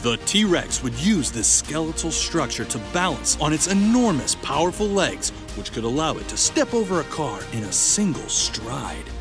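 Clear music plays in the background as a man talks at a fairly slow pace, the sound dry with no echo. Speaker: voice actor. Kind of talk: nature documentary narration.

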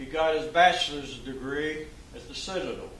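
The speaker keeps a moderate pace with ordinary pitch variation. Light background noise and audible room echo fill the recording. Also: man. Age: 80s+. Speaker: retired FBI special agent. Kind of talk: training speech to law enforcement audience. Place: hall. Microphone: podium.

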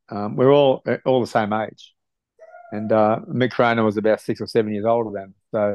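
A man with an Australian accent speaks at a fairly low pitch, with big swings in loudness. The sound is dry with no echo, and he leaves long, frequent pauses. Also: fairly even intonation, quiet background. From Australia, Sydney (south-west). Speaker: retired rugby league player; guest. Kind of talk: interview. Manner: halting, many fillers. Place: home room. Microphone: video call.

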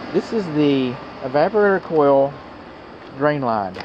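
With an American accent, a man talks at a fairly slow pace in a fairly high pitch, his intonation lively. His tone is slightly mellow, and faint background noise can be heard.

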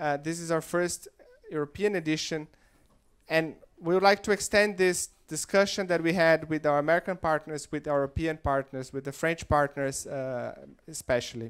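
A man with a Portuguese accent at a moderate pace, against a quiet background. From Brazil. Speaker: investment firm director and event founder. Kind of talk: opening speech. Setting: stage with audience. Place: hall. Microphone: handheld.

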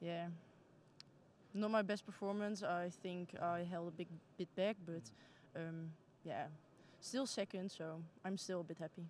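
With a Dutch accent, a woman speaks fairly slowly in a fairly low voice with fairly even intonation and long, frequent pauses, in a dry recording with no echo and light background noise. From Netherlands. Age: 20s. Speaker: junior judo athlete. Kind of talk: post-competition interview. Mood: calm, mildly pleased. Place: hall. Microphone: handheld.

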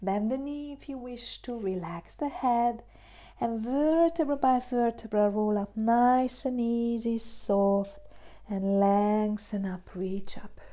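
In a Hungarian accent, a woman speaks with a dark, mellow, soothing and calm tone and ordinary pitch variation. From Hungary. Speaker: yoga teacher. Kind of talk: guided meditation and yoga class instruction. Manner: slow, soothing, calm; gentle, encouraging, soft-spoken. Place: home room.

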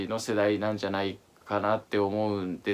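A man is speaking. His pitch is fairly low. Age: 30s. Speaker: fashion YouTuber. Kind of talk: casual talk to camera. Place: home room.

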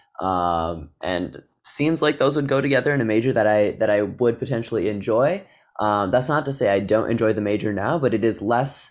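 With an American accent, a man speaks in a normal speaking voice at a medium pitch and fairly quick pace, his intonation lively and his loudness very even, on a very clean recording with a silent background. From Naperville, Illinois, US Midwest. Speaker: engineering student. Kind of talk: casual chat.

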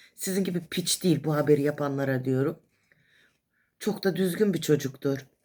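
A woman talks in an animated tone at a moderate pace. Her pitch is very deep and low. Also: ordinary pitch variation. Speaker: vlogger. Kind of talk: casual monologue. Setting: hospital.

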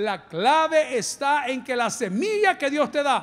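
A man's pitch swings very widely as he talks at a very slow pace. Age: 50s. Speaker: pastor. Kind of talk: sermon. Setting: church. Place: church. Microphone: handheld.

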